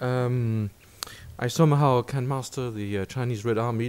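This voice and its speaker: This man talks at a moderate pace and a medium pitch. His pitch varies in an ordinary way. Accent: French. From France. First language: French. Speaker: visiting professor and lecturer. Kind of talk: lecture. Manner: halting, many fillers.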